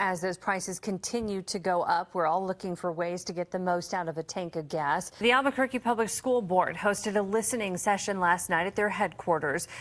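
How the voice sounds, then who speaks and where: With an American accent, a woman with an ordinary speaking voice talks at a fairly quick pace with ordinary pitch variation. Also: medium pitch for a woman, hardly any pauses. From United States, New Mexico. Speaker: television news anchor and reporter. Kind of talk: live TV newscast anchor read. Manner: clear, brisk, professional.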